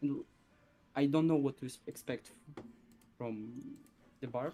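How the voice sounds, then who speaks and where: At a fairly slow pace, a man with a non-native accent speaks in a fairly high, dark, mellow voice with ordinary pitch variation. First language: not English. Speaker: strategy game player. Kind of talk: casual chat. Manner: halting.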